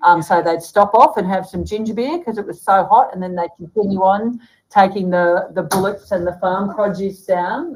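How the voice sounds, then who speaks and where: With an Australian accent, a woman speaks at a moderate pace and medium pitch. Her voice is somewhat breathy, and she hardly pauses. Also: ordinary pitch variation. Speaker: author and bookseller. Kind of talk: casual chat. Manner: cheerful, animated, chatty.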